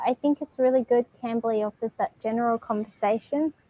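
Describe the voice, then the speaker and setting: Speaking at a moderate pace, a woman with an Australian accent has a high pitch and fairly even intonation. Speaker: online English tutor. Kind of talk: casual conversation lesson.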